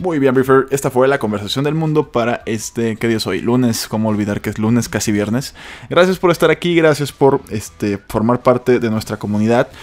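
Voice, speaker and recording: Speaking with a Mexican accent, a man keeps a moderate pace with hardly any pauses, using a medium pitch and ordinary pitch variation. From Mexico. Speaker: news podcast host. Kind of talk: casual news commentary. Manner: informal, chatty.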